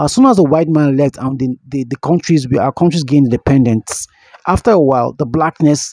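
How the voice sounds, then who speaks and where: A man speaks with a dark, mellow tone at a fairly quick pace. The sound is dry, with no echo. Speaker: radio caller. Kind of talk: caller opinion monologue.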